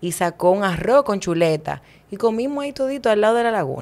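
A woman talks at a moderate pace. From Dominican Republic, Santo Domingo; Dominican Republic. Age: 30s. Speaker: social activist and mayoral candidate; podcast guest. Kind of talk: casual interview. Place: studio. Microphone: studio mic.

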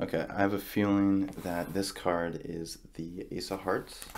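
A soft-spoken man talks at a fairly slow pace in a fairly low pitch, with monotone, flat intonation over light background noise. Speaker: card magician roleplay host. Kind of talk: ASMR card magic roleplay. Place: home room.

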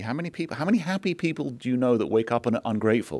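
A man's very fast speech with vocal fry against a quiet background. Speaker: business executive. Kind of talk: onstage interview conversation. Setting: stage with audience. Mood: earnest, reflective. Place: stage. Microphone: podium.

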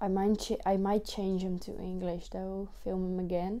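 A woman speaks in a Dutch accent with a dark, mellow tone. Her intonation is monotone and flat, and her pace is fairly slow. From Netherlands. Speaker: vlogger. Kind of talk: casual announcement to camera; casual vlog chat. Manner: hesitant, many fillers. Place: home room. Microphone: lapel.

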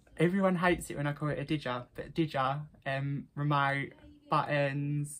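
A woman's very deep, low voice with an Essex accent. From Essex, England. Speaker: vlogger. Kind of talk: casual talk to camera. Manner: chatty, upbeat. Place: home room. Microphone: phone near.

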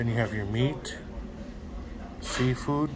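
A man talks at a very slow pace. Noticeable background noise runs underneath. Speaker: food vlogger. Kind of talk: casual vlog chat. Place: cafe. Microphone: phone near.

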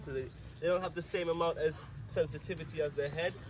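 A man talks at a very fast pace. Clear music plays behind him. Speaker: tour guide. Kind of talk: guided tour explanation. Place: open country.

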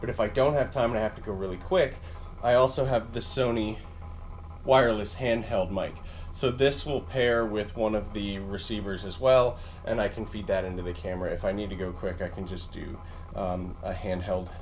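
Against light background noise, a man with an unremarkable speaking voice talks at a moderate pace and fairly low pitch, with ordinary pitch variation. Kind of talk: casual gear walkthrough vlog. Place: home room. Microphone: phone near.

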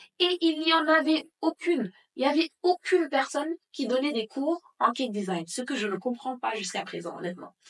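Speaking at a moderate pace, a woman uses a high pitch. Her pitch swings very widely. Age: 20s. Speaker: bakery owner and entrepreneur. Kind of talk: casual interview. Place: home room.

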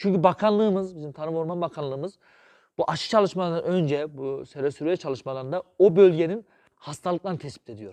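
Talking at a very fast pace, a man with a high pitch and a dark, mellow tone shows ordinary pitch variation and big swings in loudness, in a dry, close sound with no echo and a quiet background. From Central Anatolia, Sivas (Şarkışla). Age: 30s. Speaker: district agriculture director and veterinarian. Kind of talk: interview, informational explanation.

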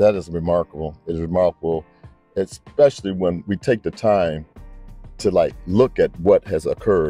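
Faint music plays in the background as a man speaks in a very deep, low pitch with ordinary pitch variation, the sound dry with no echo. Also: moderate pace. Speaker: interviewer or guest. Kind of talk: interviewer, casual talk. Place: waterside. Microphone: handheld.

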